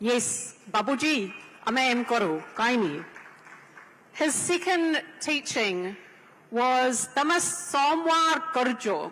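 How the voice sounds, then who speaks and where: A woman with a strong New Zealand accent speaks very slowly in a high pitch with very wide pitch swings and very even loudness, over noticeable background noise. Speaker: panelist, women's organisation leader. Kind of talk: panel talk at a convention.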